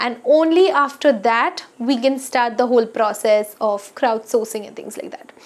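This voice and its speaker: A woman talks with a high pitch and ordinary pitch variation at a moderate pace. There are hardly any pauses, and her loudness swings widely. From India. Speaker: skincare YouTuber; skincare vlogger. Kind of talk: casual vlog talk to camera. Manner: frequent hesitations (uh). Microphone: lapel.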